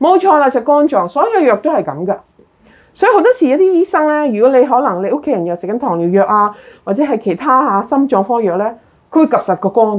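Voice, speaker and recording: Very fast and animated, a woman speaks at a high pitch with very wide pitch swings. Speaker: health talk presenter. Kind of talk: health talk to a live and Zoom audience.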